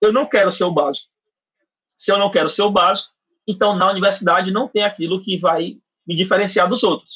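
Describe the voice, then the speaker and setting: With a Cearense accent, a man talks at a fairly quick pace in a high pitch, his pitch variation ordinary and his speech marked by long, frequent pauses. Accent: Cearense Brazilian Portuguese. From Ceará, northeastern Brazil. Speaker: university professor and AI researcher. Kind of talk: podcast interview.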